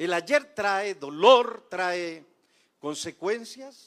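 A man talks in a high pitch. His intonation is lively. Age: 60s. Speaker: guest preacher. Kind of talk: sermon; testimony. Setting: church.

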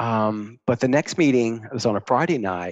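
The sound is dry and close with no echo, over a quiet background. A man speaks at a moderate pace and medium pitch. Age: 50s. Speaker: recovering addict, military retiree. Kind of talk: recovery story in casual podcast chat.

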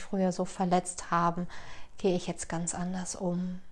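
At a moderate pace, the speech carries a monotone, flat intonation. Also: woman. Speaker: podcast host. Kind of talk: personal monologue. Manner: halting, many fillers.

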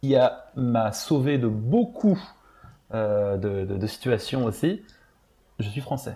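Speaking at a very slow pace with long, frequent pauses, a man with a medium pitch and a dark, mellow, somewhat breathy tone uses lively intonation. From France. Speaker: former theme park employee. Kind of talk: casual chat. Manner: halting.

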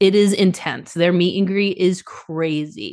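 Against a quiet background, a woman with an unremarkable speaking voice and an American accent speaks at a fairly slow pace, medium-pitched, with ordinary pitch variation. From Boston. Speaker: tour photographer. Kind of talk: casual chat.

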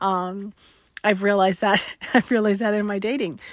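With a bright, sharp tone, a woman speaks at a medium pitch with ordinary pitch variation. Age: 40s. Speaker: podcast host, widow. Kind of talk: casual monologue. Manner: halting, many fillers and repeated words.

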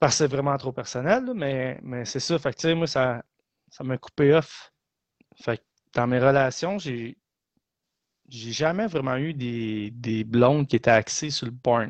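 A man talks at a medium pitch with ordinary pitch variation. His pace is very slow, with long, frequent pauses. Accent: Quebec. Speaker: podcast co-host. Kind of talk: casual chat.

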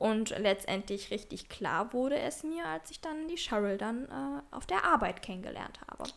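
Amid noticeable background noise, a woman with a fairly high pitch and very wide pitch swings speaks at a moderate pace with hardly any pauses, her loudness swinging a lot. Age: 20s. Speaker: podcast co-host. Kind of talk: casual chat.

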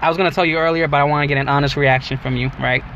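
A man with a fairly high-pitched voice talks against noticeable background noise. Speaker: podcast host. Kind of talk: casual chat. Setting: in a car. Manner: joking, animated.

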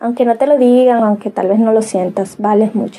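A woman with a fairly high pitch speaks in a dark, mellow tone that is somewhat breathy. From Dominican Republic, Cibao region. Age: 30s. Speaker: podcast host, inspirational speaker. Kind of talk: motivational monologue. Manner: animated.

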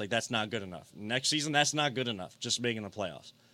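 A man with an American accent talks at a fairly quick pace. His medium-pitched voice has a bright, sharp tone. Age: 30s. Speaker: sports podcast host. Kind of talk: casual sports talk. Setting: studio.

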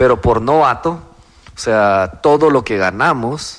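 In an ordinary speaking voice, a man talks at medium pitch with ordinary pitch variation. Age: 30s. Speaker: crypto entrepreneur. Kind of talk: interview.

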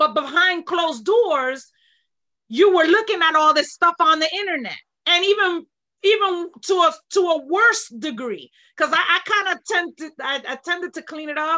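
A woman uses a raised, projected voice at an extremely high pitch and a moderate pace. Her tone is bright and sharp, with lively intonation and big swings in loudness against a quiet background. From New York. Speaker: fitness instructor, retired corrections officer. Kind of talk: casual interview.

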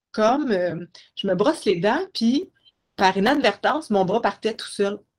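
A woman talks at a fairly slow pace, her intonation lively. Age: 30s. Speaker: guest with multiple sclerosis. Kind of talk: interview.

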